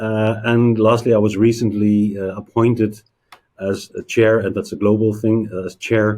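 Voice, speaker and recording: A man's dark, mellow tone at a fairly low pitch, with a Dutch accent. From Netherlands. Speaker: payments industry executive. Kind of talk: interview. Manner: halting, many fillers.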